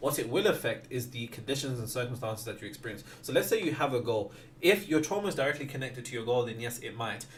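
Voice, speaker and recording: With hardly any pauses, a man talks at a very fast pace and a medium pitch, using ordinary pitch variation amid audible room echo. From West Midlands, Wolverhampton. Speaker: manifestation content creator. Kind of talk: livestream Q&A. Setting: livestream.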